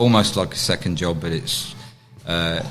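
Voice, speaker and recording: A man speaks with a very deep, low pitch and ordinary pitch variation. His pace is very slow, and audible room echo surrounds the voice. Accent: English. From England. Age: 60s. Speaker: taekwondo grandmaster. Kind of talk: interview. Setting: on location during a championship. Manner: halting.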